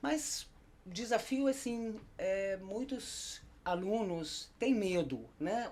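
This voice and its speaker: A woman is speaking. Her pitch swings very widely. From Germany. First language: German (speaking Portuguese). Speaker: German teacher. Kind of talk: casual chat.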